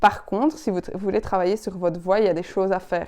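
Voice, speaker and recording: A woman speaks in a dark, mellow tone at a medium pitch. Her pitch varies by an ordinary amount. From Belgian Ardennes. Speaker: public speaking coach. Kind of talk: tutorial. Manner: expressive, varied intonation.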